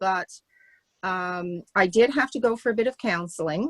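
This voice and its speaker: A woman with a Canadian Maritime accent and lively intonation at a moderate pace, in a very clean recording with a silent background and a dry, close sound with no echo. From Canada, Nova Scotia. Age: 70s. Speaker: class participant. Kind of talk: testimony. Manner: halting.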